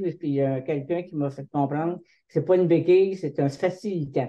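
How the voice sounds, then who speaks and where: A woman with a Quebec accent speaks at a very deep, low pitch with fairly even intonation. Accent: Québécois French. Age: 70s. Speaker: patient partner. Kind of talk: testimony. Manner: halting.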